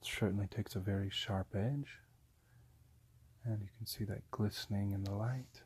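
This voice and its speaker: Soft-spoken and somewhat breathy, a man with a fairly low pitch talks at a fairly slow pace with fairly even intonation. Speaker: ASMR creator. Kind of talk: ASMR product review.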